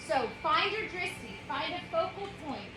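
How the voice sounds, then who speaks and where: A woman with a high pitch raises and projects her voice in very wide pitch swings, with audible room echo and noticeable background noise. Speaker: yoga teacher. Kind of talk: yoga class instruction.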